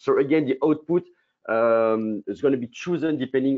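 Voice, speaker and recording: This man speaks with a strong French accent. His pitch variation is ordinary. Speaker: company co-founder presenting a product. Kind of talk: business webinar presentation. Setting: online webinar. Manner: fast.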